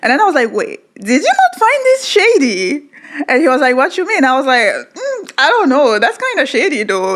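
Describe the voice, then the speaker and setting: A woman with a non-native accent at a moderate pace, her pitch swinging very widely, over noticeable background noise. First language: not English. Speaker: podcast co-host. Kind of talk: casual chat.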